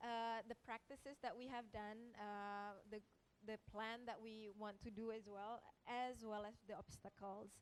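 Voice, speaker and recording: A fairly high-pitched woman with an Indonesian accent, monotone and flat in intonation, at a fairly slow pace. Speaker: researcher. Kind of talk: panel presentation. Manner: halting.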